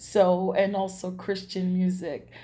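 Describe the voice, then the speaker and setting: There is audible room echo around a woman's somewhat breathy voice, which has a dark, mellow tone at a medium pitch. She speaks at a very slow pace. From New York, Brooklyn. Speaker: singer. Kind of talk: self-introduction video. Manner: halting, many fillers.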